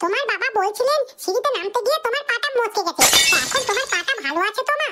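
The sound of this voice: Doing a cartoonish character voice, a woman squeaks at an extremely high pitch with lively intonation and a fairly quick pace.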